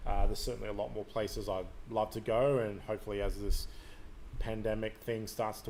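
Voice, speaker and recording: With audible room echo, a man speaks with a slight Australian accent. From Canada. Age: 40s. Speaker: podcast host. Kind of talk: live stream monologue. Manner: hesitant, many fillers.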